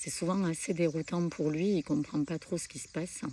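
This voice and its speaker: Soft-spoken and fairly low-pitched, a woman talks in a dark, mellow tone with fairly even intonation. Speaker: spiritual content creator. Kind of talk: spiritual talk to camera. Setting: outdoors at a pilgrimage site. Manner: hesitant, many fillers.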